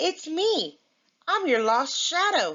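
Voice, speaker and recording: In a put-on character voice, a woman speaks softly at an extremely high, squeaky pitch with very wide pitch swings. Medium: read story. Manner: shy, soft.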